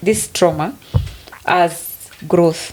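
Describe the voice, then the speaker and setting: A woman speaks with a Kenyan accent. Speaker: podcast co-host. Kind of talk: casual chat.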